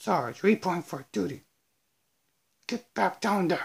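A put-on character voice with very wide pitch swings at a fairly slow pace. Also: man, high pitch for a man.

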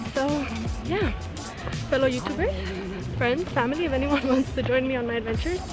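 Clear music plays in the background as a woman talks at a fairly quick pace, the sound dry with no echo. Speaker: travel vlogger. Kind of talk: casual vlog chat. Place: forest. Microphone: phone near.

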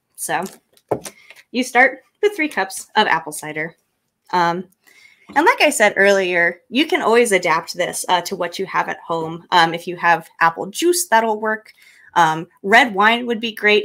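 The tone is bright and sharp, with lively intonation at a fairly slow pace. The background is quiet. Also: woman. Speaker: cocktail tutorial presenter; presenter. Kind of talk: tutorial. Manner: hesitant, many ums. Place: home room. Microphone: studio mic.

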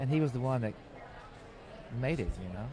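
Lively, medium-pitched male voice with a Southern US accent, dry with no echo, over noticeable background noise. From North Carolina. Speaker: record producer; interview guest. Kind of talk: casual interview. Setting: outdoors at a film festival. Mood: relaxed, reminiscing. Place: tent. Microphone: handheld.

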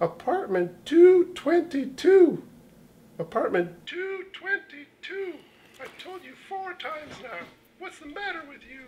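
A cartoonish character voice at an extremely high pitch speaks at a very slow pace. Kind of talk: comic overacting. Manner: taunting, sing-song, gleeful, rhyming.

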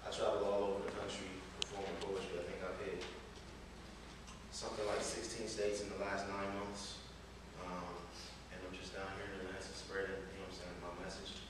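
Amid strong room echo and noticeable background noise, a man with an American accent talks at a fairly quick pace with long, frequent pauses. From Columbus, Ohio. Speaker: spoken word poet. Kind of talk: casual talk to live audience. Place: stage. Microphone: camera far.

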